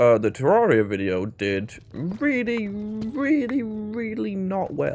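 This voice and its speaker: Mumbling, a man talks with very wide pitch swings. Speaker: gaming YouTuber. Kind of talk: casual gameplay commentary.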